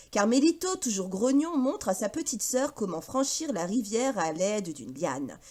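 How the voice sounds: With a slightly mellow tone, the voice moves at a moderate pace and makes big pitch swings. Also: woman, medium pitch for a woman.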